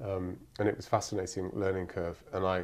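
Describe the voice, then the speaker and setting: In a very deep, low pitch, a man speaks over a quiet background. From Cyprus. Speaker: novelist. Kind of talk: interview. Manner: hesitant, many fillers.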